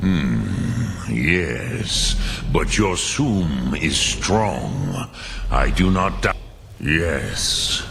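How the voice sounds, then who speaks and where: In a put-on character voice, a man speaks very slowly at a very deep, low pitch, with clear background noise. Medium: video game. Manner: slow, grave, measured.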